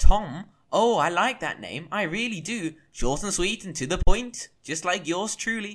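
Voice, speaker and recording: A man's put-on character voice, high-pitched, playful and sing-song, at a moderate pace on a very clean recording with a silent background. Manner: playful, sing-song, rhyming, cheeky.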